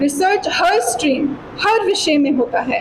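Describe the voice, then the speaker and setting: Lively intonation and a non-native accent come through over noticeable background noise. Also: woman. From USA (California). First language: not Hindi (speaking Hindi). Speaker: PhD researcher giving seminar. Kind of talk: seminar talk to students. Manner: partly read aloud from notes; halting with fillers.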